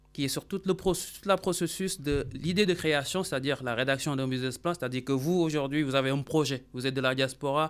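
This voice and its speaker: A man speaks in an ordinary speaking voice, his pitch fairly high. He moves at a fairly quick pace with ordinary pitch variation. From Senegal, Dakar. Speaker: accountant and business consultant. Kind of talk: radio interview.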